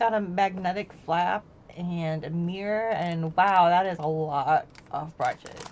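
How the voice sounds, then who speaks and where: At a fairly slow pace, a woman with an unremarkable speaking voice talks at a fairly low pitch, her loudness swinging widely. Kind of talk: recorded voiceover for a makeup unboxing. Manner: casual, upbeat.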